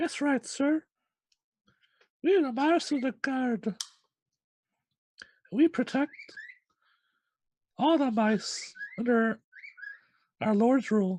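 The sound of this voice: A put-on character voice comes out high and squeaky. It moves at a very slow pace with long, frequent pauses.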